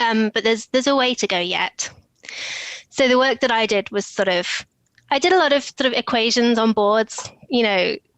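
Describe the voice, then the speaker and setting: A woman with a British accent, fairly high in pitch, with ordinary pitch variation, a moderate pace and very even loudness. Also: dry, close sound with no echo. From England, Oxfordshire. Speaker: e-discovery professional, former physicist. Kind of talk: casual interview chat. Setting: video call.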